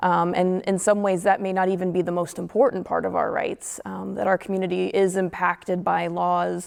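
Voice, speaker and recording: The pace stays moderate. A woman speaks with hardly any pauses. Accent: Midwestern US. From northern Indiana. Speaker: panelist. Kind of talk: panel discussion. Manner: halting.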